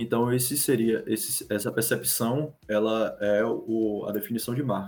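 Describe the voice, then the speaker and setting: Very even loudness marks this man's medium-pitched voice, with fairly even intonation. He talks at a fairly slow pace with hardly any pauses. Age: 20s. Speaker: graphic designer. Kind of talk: casual chat. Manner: halting.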